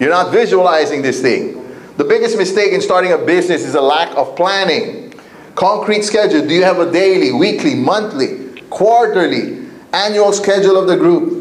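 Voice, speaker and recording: With an energetic tone and very wide pitch swings, the speaker keeps a moderate pace and very even loudness amid audible room echo and noticeable background noise. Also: man, high pitch for a man. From Asia, with eleven years in Africa. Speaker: network marketing trainer. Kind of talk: motivational seminar talk. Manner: energetic, repetitive call-and-response.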